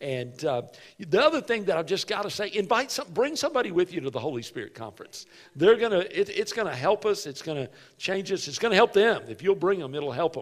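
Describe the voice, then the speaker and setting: A man talking at a very fast pace over a quiet background. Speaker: pastor. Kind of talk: sermon. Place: church.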